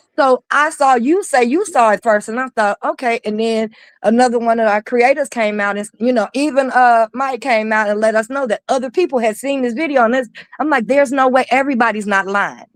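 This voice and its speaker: In a very clean recording with a silent background and a dry, close sound free of echo, a woman talks at a fairly quick pace in an animated, high-pitched voice. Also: ordinary pitch variation. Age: 50s. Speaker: pastor and panelist. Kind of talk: live stream panel discussion. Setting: live stream.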